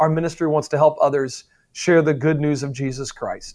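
He speaks at a moderate pace. The man has an ordinary speaking voice, pitched fairly high. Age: 40s. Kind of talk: interview.

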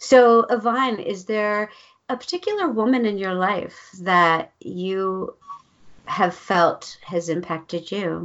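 Very slow speech from a woman, pitched in the medium range. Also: ordinary pitch variation. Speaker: podcast host. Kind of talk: interview, conversational. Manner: enthusiastic, upbeat.

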